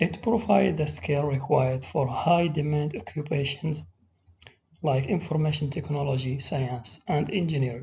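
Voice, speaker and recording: Somewhat breathy, a man speaks at a moderate pace with an Arabic accent. His pitch is fairly high. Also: ordinary pitch variation. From Saudi Arabia. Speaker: teacher. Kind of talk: presentation.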